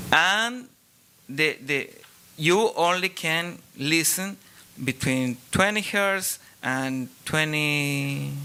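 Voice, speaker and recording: With a Spanish accent, a man speaks at a very slow pace, leaving long, frequent pauses. His voice is fairly high and bright, sharp in tone, with lively intonation. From Chile. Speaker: audience member asking a question; acoustic engineer. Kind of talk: audience question at panel. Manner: halting.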